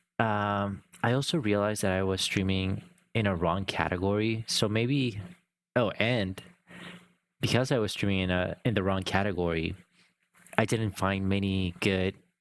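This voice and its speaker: A man with a non-native accent speaks at a moderate pace and a fairly low pitch, using long, frequent pauses. His intonation is fairly even and his loudness very even. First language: not English. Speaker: live streamer. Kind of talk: casual livestream chat. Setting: live stream. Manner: hesitant, searching for words.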